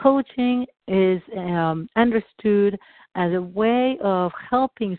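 Speaking with a non-native accent, a woman goes at a very slow pace with ordinary pitch variation. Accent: noticeable foreign. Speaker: EFT coach. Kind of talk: teaching call. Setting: live recorded call.

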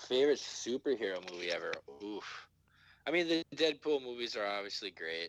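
A man's Minnesotan accent at a medium pitch, with very wide pitch swings and a fairly quick pace, in a dry, close sound with no echo. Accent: Minnesota. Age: 30s. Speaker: podcaster. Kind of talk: casual chat. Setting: video call.

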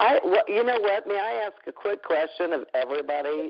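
Lively intonation marks a woman's speech, which moves at a fairly slow pace. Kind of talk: casual call-in chat.

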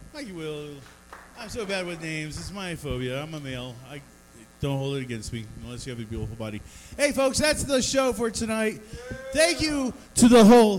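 With noticeable background noise and audible room echo, a man with an American accent speaks at a fairly quick pace and high pitch, using very wide pitch swings, big swings in loudness and long, frequent pauses. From Denver area, Colorado. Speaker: comedy show host. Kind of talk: stand-up. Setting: bar stage with small audience.

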